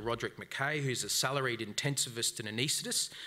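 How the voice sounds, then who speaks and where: A man talks at a fairly quick pace and medium pitch. He has an Australian accent. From Brisbane, Australia. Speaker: debate moderator. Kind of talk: live debate moderation. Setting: stage with audience. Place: hall. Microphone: podium.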